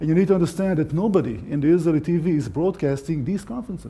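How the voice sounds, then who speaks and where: At a fairly quick pace, a man speaks in a dark, mellow tone, high in pitch with ordinary pitch variation. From Israel. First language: Hebrew. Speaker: conference speaker, tour guide and army officer. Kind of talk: conference talk. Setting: stage with audience at a conference.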